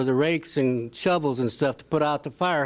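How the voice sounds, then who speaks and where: A man speaks at a moderate pace with a Midwestern American accent. His pitch is fairly high. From Indiana (Lake Village, Newton County). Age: 70s. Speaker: audience member sharing local story. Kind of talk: anecdote told at public event.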